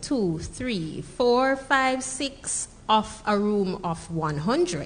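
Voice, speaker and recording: In a Jamaican accent, a woman of medium pitch speaks at a very slow pace with lively intonation and hardly any pauses, amid audible room echo. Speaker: entrepreneur and speaker. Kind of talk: conference talk. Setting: stage with audience. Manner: conversational.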